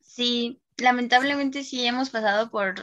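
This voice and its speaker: A woman's high-pitched voice over a quiet background. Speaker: university student. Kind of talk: casual chat.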